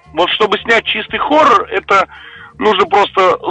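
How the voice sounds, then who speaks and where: A man speaks at a moderate pace, his pitch swinging very widely. Noticeable background noise runs underneath. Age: 30s. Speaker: film director and screenwriter. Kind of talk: interview.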